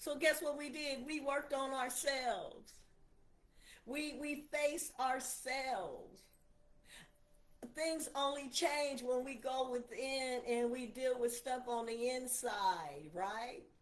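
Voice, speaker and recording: A woman's high-pitched voice at a very slow pace, with audible room echo. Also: ordinary pitch variation. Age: 60s. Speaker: preacher. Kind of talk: livestream sermon. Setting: livestream on laptop. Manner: animated.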